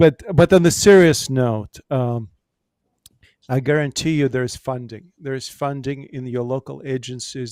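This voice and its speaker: A man with a medium-pitched voice speaks at a moderate pace with ordinary pitch variation and big swings in loudness, recorded with a dry, close sound and no echo. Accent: Russian. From Ukraine. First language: Russian. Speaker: pastor. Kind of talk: panel discussion. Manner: halting.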